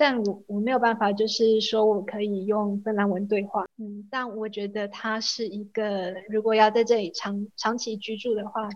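A woman talks at a moderate pace with hardly any pauses. Her fairly high voice stays monotone and flat. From Taiwan. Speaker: graduate student. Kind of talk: interview.

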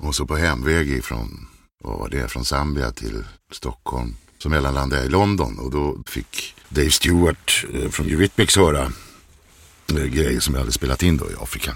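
The recording is very clean with a silent background. The voice has vocal fry, ordinary pitch variation and a moderate pace. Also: man, very deep, low pitch for a man. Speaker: voice-over artist. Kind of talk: casual chat.

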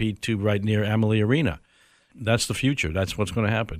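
Over a very clean recording with a silent background, a man with an American accent uses an ordinary speaking voice, fairly low in pitch with ordinary pitch variation. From New York State. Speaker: airport executive. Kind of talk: interview.

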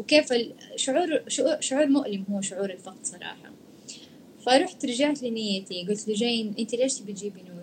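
Lively in intonation, a woman with a fairly high pitch speaks at a moderate pace, her loudness swinging widely against noticeable background noise. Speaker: live stream host. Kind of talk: casual chat in a live stream interview. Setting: video call live stream.

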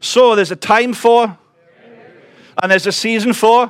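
A man speaks with a Welsh accent. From Wales. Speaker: visiting preacher. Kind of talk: sermon. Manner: fast.

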